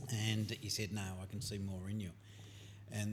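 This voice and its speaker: Over noticeable background noise and audible room echo, a man talks at a moderate pace in a fairly low voice with monotone, flat intonation. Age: 70s. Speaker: guest sharing faith testimony. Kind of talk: testimony.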